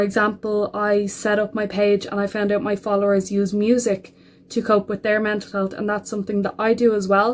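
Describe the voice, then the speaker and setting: At a moderate pace, a woman with an Irish accent speaks at a fairly high pitch. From Ireland. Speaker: mental health advocate. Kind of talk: personal introduction to camera.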